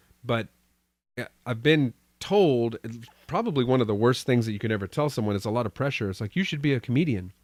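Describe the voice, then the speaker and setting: Speaking with an American accent and lively intonation, a man with a medium pitch talks very fast between long, frequent pauses, in a dry, close sound with no echo. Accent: slight Texas, only on some words. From Texas. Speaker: podcast host. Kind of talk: casual chat.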